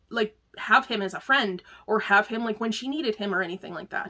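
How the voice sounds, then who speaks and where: Her voice is fairly high-pitched, with ordinary pitch variation and a bright, sharp tone, as a woman speaks. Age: 40s. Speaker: book reviewer. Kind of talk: casual book review talk. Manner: many filler words, casual.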